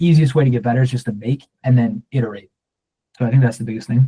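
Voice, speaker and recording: A man talks at a very fast pace in a medium pitch, his dark, mellow tone somewhat breathy, with fairly even intonation and a dry, close sound with no echo. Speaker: short-form video coach. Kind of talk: workshop Q&A. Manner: monotone; casual.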